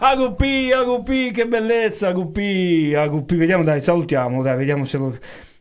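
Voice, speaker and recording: A man's high-pitched, animated voice with very wide pitch swings, at a moderate pace with hardly any pauses. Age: 20s. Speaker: radio host and DJ. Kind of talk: casual radio show chat.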